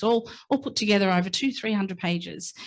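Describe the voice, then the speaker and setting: A woman with an Australian accent sounds somewhat breathy, her intonation fairly even. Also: quiet background. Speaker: invited speaker sharing family story. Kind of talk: public talk. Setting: stage with audience. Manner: halting.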